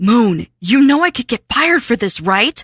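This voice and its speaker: A female-sounding, put-on character voice with fairly high pitch talks at a moderate pace. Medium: audio drama. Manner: earnest, worried.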